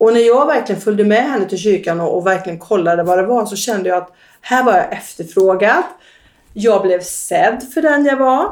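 At a moderate pace, a woman speaks in a fairly high pitch with lively intonation. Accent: slight Västergötland. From Västergötland, Sweden. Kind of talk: interview about personal testimony.

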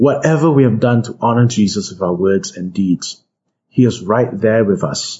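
Against a quiet background, someone is reading aloud in a natural voice with lively intonation.

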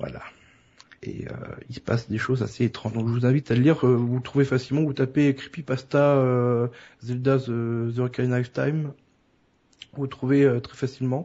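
At a moderate pace with long, frequent pauses, a man speaks at medium pitch in a monotone, flat intonation. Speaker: podcast co-host. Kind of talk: casual chat.

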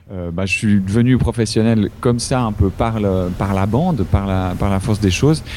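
A man speaks at a fairly low pitch with ordinary pitch variation and hardly any pauses. Noticeable background noise runs underneath. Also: moderate pace. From Switzerland. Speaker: improv actor and singer. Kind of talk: casual interview. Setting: Skype call. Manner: hesitant, many repetitions.

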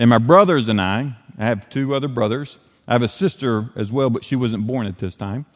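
In an Appalachian accent, a man speaks at a fairly quick pace with a medium pitch and ordinary pitch variation. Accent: Appalachian Southern US. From Western North Carolina. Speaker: evangelist, guest preacher. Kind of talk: sermon. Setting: church.

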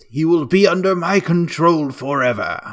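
A man's put-on character voice, high in pitch. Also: moderate pace.

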